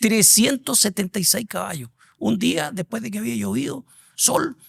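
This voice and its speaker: A man's high voice moves through very wide pitch swings at a moderate pace, recorded dry and close with no echo. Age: 60s. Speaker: executive headhunter. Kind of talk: interview conversation.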